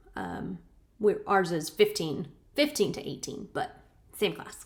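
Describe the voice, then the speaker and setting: A quiet woman with a medium pitch is heard on a very clean recording with a silent background. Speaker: channel host reading her grandmother's journals. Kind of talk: casual chat. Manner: uneven volume, loud then quiet. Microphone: laptop mic, no external microphone.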